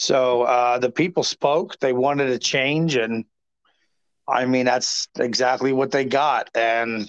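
At a fairly slow pace and medium pitch, a man speaks with fairly even intonation in a dry, close sound with no echo. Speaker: former city councilman. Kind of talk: interview. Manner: halting, many fillers.

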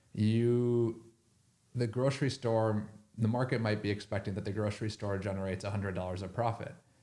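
Talking at a fairly quick pace, a man with an American accent has an unremarkable speaking voice, fairly low in pitch, with fairly even intonation. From Minnesota. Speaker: hedge fund researcher. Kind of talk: casual interview.

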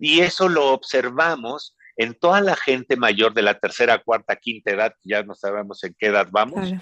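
Heard dry and close with no echo over a quiet background, a man of medium pitch with a bright, sharp tone speaks at a moderate pace with very wide pitch swings. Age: 50s. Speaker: chi kung teacher. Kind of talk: interview.

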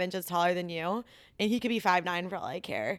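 In a normal speaking voice, a woman with an American accent talks at a fairly quick pace with ordinary pitch variation, recorded very cleanly against a silent background. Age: 20s. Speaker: saleswoman. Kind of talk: casual chat.

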